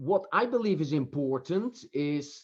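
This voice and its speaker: Very wide pitch swings mark this man's speech in a Dutch accent. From Netherlands. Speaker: professor and author. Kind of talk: interview. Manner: halting, many fillers.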